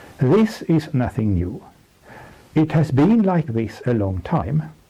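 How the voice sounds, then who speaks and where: A man's dark, mellow voice, somewhat breathy, at a very slow pace with very wide pitch swings. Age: 70s. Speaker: economic analyst. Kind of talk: presentation. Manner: formal.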